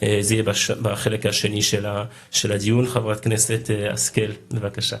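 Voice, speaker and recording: A man with a fairly low pitch speaks fairly slowly in a monotone, flat intonation, with noticeable background noise. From France. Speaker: legislator chairing a meeting. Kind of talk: meeting moderation.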